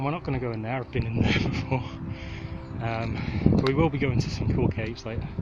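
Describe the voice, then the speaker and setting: A man talks at a medium pitch. Noticeable background noise and audible room echo surround his voice. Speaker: gaming YouTuber. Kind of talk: vlog narration while hiking. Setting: outdoors. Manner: casual, enthusiastic.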